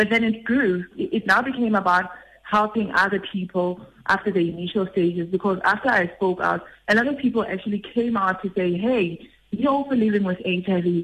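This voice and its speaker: This woman has a plain, everyday voice, medium in pitch, with ordinary pitch variation at a moderate pace. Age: 30s. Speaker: nurse and HIV activist. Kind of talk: testimony.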